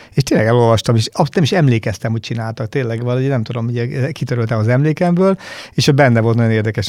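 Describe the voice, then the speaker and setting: A man's dark, mellow tone at a very fast pace, on a very clean recording with a silent background. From Hungary, Battonya (southeast, Békés county). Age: 50s. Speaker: company managing director. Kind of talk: interview.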